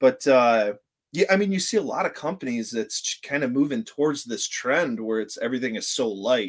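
A man talks at a fairly quick pace with an American accent. His voice is an unremarkable speaking voice at a medium pitch. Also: lively intonation. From Northern Michigan. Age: 30s. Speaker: hunting YouTuber. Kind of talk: casual interview.

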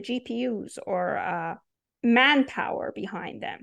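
A woman speaks with a Persian accent. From Iran. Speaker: PhD student in AI research. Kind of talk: interview.

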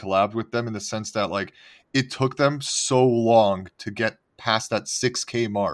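A man with an unremarkable speaking voice keeps a fairly even intonation on a very clean recording with a silent background. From Montreal, Canada. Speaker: NFT podcast co-host. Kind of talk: casual chat.

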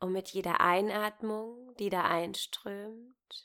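Speaking very slowly, a woman uses a gentle, soothing tone with fairly even intonation. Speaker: meditation guide. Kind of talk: guided meditation. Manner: slow, gentle, soothing pace with long pauses; warm, intimate, calm and reassuring.

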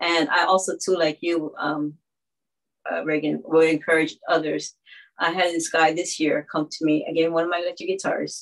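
A flat, monotone delivery with vocal fry, spoken at a moderate pace. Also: woman, fairly low pitch for a woman. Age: 50s. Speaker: musician and songwriter. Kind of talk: live online roundtable discussion. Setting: video call.

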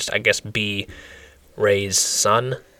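A man in a monotone, flat intonation amid noticeable background noise. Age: 20s. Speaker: wrestling podcast co-host. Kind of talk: casual chat.

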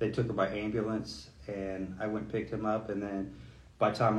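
This man has a plain, everyday voice, fairly low in pitch, and he speaks at a moderate pace. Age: 40s. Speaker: police lieutenant. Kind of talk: casual chat.

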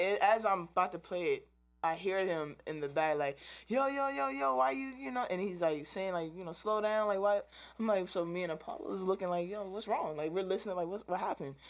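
In an American accent, a woman with a normal speaking voice talks at a fairly quick pace, medium in pitch with lively intonation. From DMV area, US East Coast. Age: 20s. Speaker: musician. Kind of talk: casual interview.

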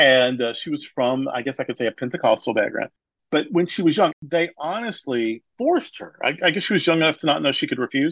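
Over a quiet background, a man with an American accent speaks in a plain, everyday voice, fairly high in pitch for a man, at a fairly quick pace with lively intonation and a dry, close sound with no echo. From US South. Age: 50s. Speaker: pastor. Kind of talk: interview.

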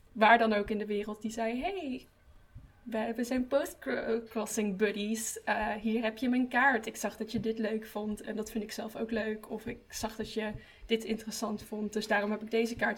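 At a fairly slow pace, a woman speaks in a somewhat breathy, fairly high voice with monotone, flat intonation. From Breda. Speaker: art student and podcast hostess. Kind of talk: casual chat.

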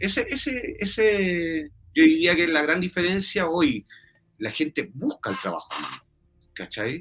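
A man speaks fairly slowly at a high pitch with lively intonation. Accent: Chilean. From Chile, Santiago. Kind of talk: interview.

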